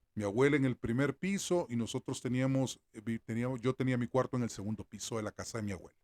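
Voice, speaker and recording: A normal speaking voice from a man at medium pitch, fairly quick in pace, with a dry, close sound and no echo. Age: 60s. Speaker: sports journalist. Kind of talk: opinion commentary monologue.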